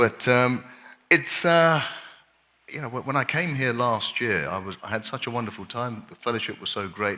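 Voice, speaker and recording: Speaking at a fairly slow pace, a man uses a bright, sharp tone and lively intonation. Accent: English. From England. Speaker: doctor, lifestyle medicine speaker. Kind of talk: health workshop lecture. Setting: camp meeting audience.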